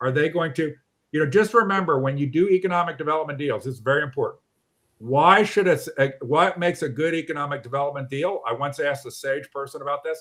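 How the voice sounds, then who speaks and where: At a fairly quick pace, a man uses a normal speaking voice, fairly high in pitch, with ordinary pitch variation. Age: 60s. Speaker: online show host. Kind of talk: casual discussion.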